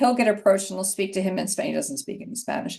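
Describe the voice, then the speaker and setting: The voice has a dark, mellow tone and a Philadelphia accent. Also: woman. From Philadelphia, US. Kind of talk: panel discussion.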